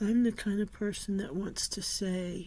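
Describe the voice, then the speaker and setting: A woman with a dark, mellow tone and a somewhat breathy voice speaks fairly slowly, her intonation fairly even. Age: 60s. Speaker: author and vlogger. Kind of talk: personal vlog monologue.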